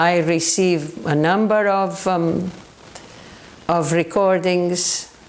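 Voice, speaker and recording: Delivery is very slow and monotone, with flat intonation and long, frequent pauses. Noticeable background noise and audible room echo fill the recording. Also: woman. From southern Portugal. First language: Portuguese. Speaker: paranormal researcher. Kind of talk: educational talk. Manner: halting.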